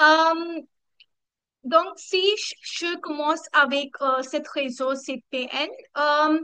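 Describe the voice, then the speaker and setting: A woman with a non-native accent speaks very slowly in a raised, projected voice, with long, frequent pauses and big swings in loudness. Her tone is bright and sharp, her pitch high and her intonation fairly even. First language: not French (speaking French). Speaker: community coordinator. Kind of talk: online community meeting presentation. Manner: halting, many hesitations.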